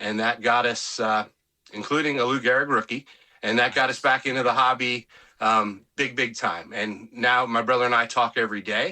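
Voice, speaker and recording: This man has an unremarkable speaking voice, with an American accent and medium pitch. He speaks at a moderate pace with fairly even intonation. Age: 60s. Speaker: sports memorabilia collector. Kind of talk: interview. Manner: casual, with many filler words.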